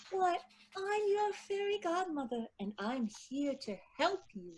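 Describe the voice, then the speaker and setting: This put-on character voice is squeaky, moving at a fairly slow pace with very wide swings in pitch. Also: female-sounding voice, extremely high pitch for a woman. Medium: read story. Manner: warm, soothing.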